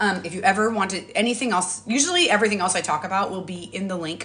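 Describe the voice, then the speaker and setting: A woman rattles along very fast at a medium pitch, her pitch varying in an ordinary way, with noticeable background noise present. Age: 40s. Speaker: social media influencer. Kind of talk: live stream product talk. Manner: animated.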